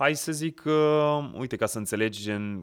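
A very clean recording with a silent background captures a man whose pitch varies in an ordinary way. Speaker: actor. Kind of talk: casual chat. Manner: animated.

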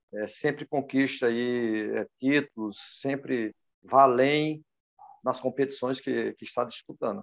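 Speaking very slowly, a man holds a medium pitch. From Brazil, Pernambuco. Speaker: former footballer and coach. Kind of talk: interview. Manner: halting, many fillers.

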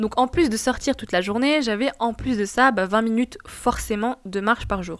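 A woman talks in an ordinary speaking voice at a fairly high pitch with ordinary pitch variation. Her pace is moderate, with hardly any pauses. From Tunisia. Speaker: podcast host. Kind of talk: casual personal monologue. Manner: casual.

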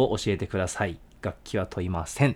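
At a moderate pace, a man speaks in an ordinary speaking voice with ordinary pitch variation. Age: 20s. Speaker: band vocalist and guitarist, podcast co-host. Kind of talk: casual chat.

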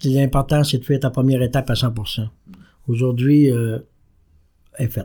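Long, frequent pauses break up a man's speech at a moderate pace and medium pitch. His tone is dark, mellow, and somewhat breathy, in a monotone, flat intonation. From Quebec, Saguenay–Lac-Saint-Jean (Jonquière). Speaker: recovering alcoholic sharing his story. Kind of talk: testimony.

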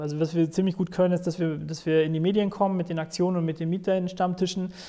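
A dark, mellow tone with fairly even intonation. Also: man. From Sauerland. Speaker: tenant activist. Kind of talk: interview.

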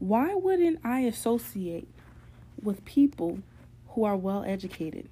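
Fairly high in pitch, a woman with an American accent speaks slowly in a somewhat breathy, dark, mellow tone with very wide pitch swings. The recording is very clean, with a silent background. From New York. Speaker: podcast host. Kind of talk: monologue podcast episode.

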